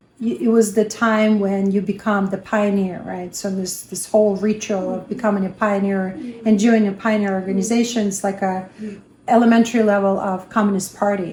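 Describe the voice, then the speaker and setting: Somewhat breathy with a dark, mellow tone, a woman talks fairly quickly at a medium pitch in a monotone, flat intonation. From Russia (Kazakhstan, then Samara). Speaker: interviewee sharing life story. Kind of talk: interview. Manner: hesitant, many fillers.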